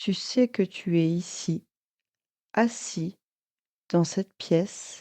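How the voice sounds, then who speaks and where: At a very slow pace, a woman speaks in a fairly low pitch with a dark, mellow tone, the sound dry and close with no echo against a quiet background. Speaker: hypnotherapist. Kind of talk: guided hypnosis session. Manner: slow, calm.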